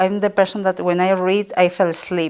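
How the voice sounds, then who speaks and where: A woman speaks in a Spanish accent. Her intonation is monotone and flat. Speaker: midwife and author. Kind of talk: podcast interview.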